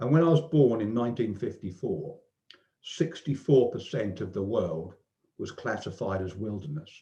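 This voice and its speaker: A man speaks at a moderate pace in a medium-pitched, dark, mellow voice that is somewhat breathy. His pitch swings very widely. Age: 60s. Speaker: online discussion group participant. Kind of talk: casual chat. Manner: halting.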